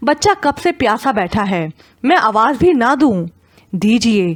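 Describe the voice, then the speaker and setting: Her voice is high in pitch. This woman's pitch swings very widely. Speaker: audiobook narrator. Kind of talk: audio drama novel narration.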